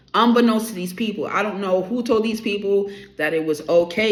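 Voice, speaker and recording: Amid noticeable background noise and audible room echo, a woman speaks with a New York accent at a medium pitch. Her pace is moderate, with ordinary pitch variation. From New York, the Bronx. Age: 30s. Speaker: tarot YouTuber. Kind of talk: opinion rant to camera. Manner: animated.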